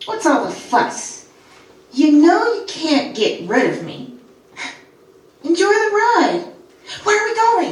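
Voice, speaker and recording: A put-on character voice sits at an extremely high pitch and moves at a fairly slow pace. Long, frequent pauses break it up, with a slight echo. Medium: stage play. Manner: taunting, familiar.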